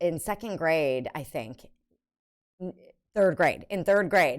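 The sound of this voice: A woman speaks at a low pitch with ordinary pitch variation.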